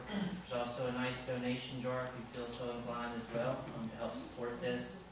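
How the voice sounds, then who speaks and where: A man speaks at a fairly quick pace. Strong room echo and noticeable background noise fill the recording. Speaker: event host. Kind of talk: announcements before a lecture. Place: hall. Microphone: camera far.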